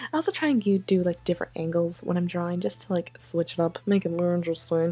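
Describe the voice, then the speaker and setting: Her tone dark and mellow, a woman speaks at a fairly low pitch. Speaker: art youtuber. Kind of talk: voiceover commentary over drawing video. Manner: casual, filler-heavy.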